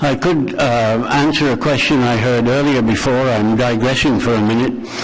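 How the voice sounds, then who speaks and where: Over noticeable background noise and audible room echo, a man speaks at medium pitch. He keeps a moderate pace and a fairly even intonation. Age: 80s+. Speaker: war veteran. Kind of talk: public delegation testimony. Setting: council committee meeting.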